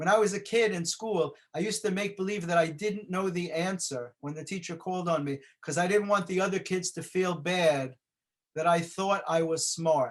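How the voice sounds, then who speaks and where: Speaking with a New York accent, a man talks at a fairly quick pace. His pitch is high, with ordinary pitch variation. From New York City (the Bronx). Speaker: motivational speaker. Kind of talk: motivational talk.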